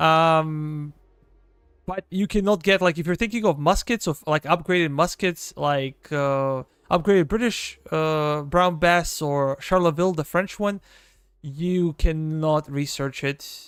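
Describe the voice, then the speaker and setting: With a Serbian accent and ordinary pitch variation, the speaker talks at a fairly slow pace in a very clean recording with a silent background and a dry, close sound with no echo. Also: man, fairly high pitch for a man. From Serbia, southeastern. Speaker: gaming streamer. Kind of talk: live gameplay stream chat.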